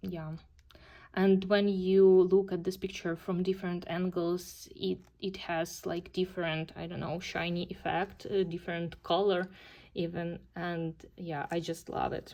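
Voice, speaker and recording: At a fairly slow pace, a woman with a Ukrainian accent speaks in a dark, mellow tone, her fairly low pitch staying monotone and flat. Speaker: coloring hobby YouTuber. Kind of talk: casual video monologue showing completed pages. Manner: hesitant, many fillers.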